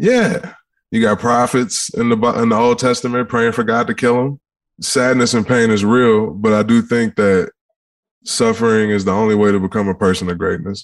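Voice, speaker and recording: Pitched at a medium level, a man's voice shows ordinary pitch variation and very even loudness. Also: moderate pace. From Detroit, Michigan. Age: 30s. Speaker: former football player, musician, mental health advocate. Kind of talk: casual interview chat.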